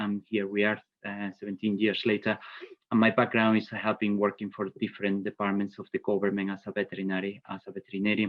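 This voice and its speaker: A Spanish accent, monotone and flat in intonation, at a very fast pace. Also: man, fairly low pitch for a man. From Spain. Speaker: bee inspector and vet. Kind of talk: webinar presentation. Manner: hesitant, many fillers.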